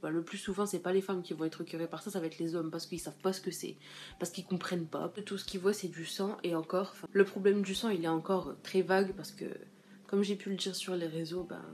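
Light background noise sits behind a woman speaking at a very fast pace with monotone, flat intonation. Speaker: vlogger. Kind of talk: casual vlog chat. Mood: earnest, opinionated. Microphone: phone near.

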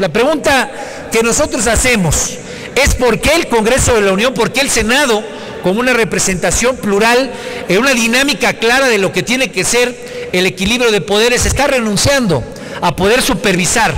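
Over light background noise, a man speaks at a moderate pace in an extremely high pitch, with ordinary pitch variation and very even loudness. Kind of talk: parliamentary speech. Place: hall. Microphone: podium.

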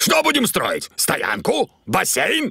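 In a cartoonish character voice, a man talks slowly at a high pitch with very wide pitch swings, vocal fry, a slightly husky edge and a bright, sharp tone.

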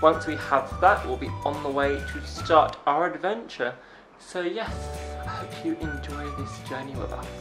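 With clear music in the background, a man talks at a fairly slow pace with big swings in loudness. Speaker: travel vlogger. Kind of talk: casual vlog chat. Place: home room. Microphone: phone near.

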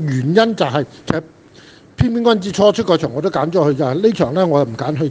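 Speaking at a moderate pace with lively intonation, a man is heard amid noticeable background noise. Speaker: horse racing tipster. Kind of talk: casual chat.

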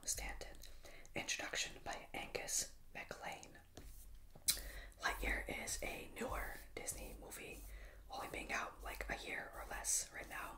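At a fairly slow pace, a man is whispering. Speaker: ASMR creator. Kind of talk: ASMR book flip-through. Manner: whispered.

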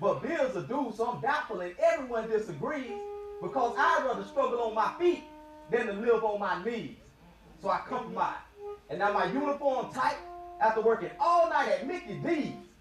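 The speaker moves at a moderate pace with lively intonation. Music plays in the background. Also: man, extremely high pitch for a man. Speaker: spoken word poet. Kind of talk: spoken word poetry performance. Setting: live event before an audience.

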